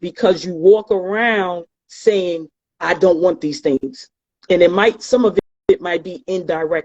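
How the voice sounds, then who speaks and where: Speaking at a fairly slow pace, a woman with a New York accent uses a medium pitch with ordinary pitch variation. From New York City, the Bronx. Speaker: tax practitioner and author. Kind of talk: motivational talk in interview. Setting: online live stream.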